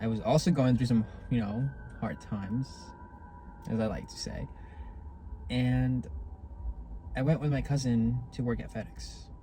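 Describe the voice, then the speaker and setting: A moderate pace broken by long, frequent pauses, with music in the background. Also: man. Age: young. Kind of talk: casual talk to camera. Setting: in a car.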